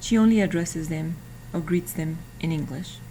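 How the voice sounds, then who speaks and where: A woman speaks with a Spanish accent and a fairly low pitch. Audible room echo surrounds her voice. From Mexico, Jalpa, Zacatecas. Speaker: graduate student. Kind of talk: student presentation. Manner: hesitant, with fillers.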